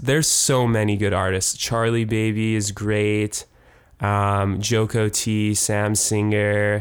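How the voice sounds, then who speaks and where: Very slowly and with fairly even intonation, a speaker with a Canadian accent talks at a very even loudness in a very clean recording with a silent background. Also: man. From Canada, Winnipeg. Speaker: musician and concert promoter. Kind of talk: casual interview.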